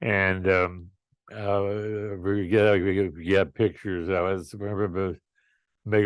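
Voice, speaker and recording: A man talks at a very slow pace with an American accent. His fairly low pitch stays in monotone, flat intonation. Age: 80s+. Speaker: retired airline captain and aviator. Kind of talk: interview answer.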